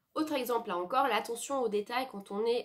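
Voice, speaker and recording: A woman talks fairly quickly, her pitch varying in an ordinary way. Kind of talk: personal reflection monologue. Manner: fast; halting, many fillers and self-corrections.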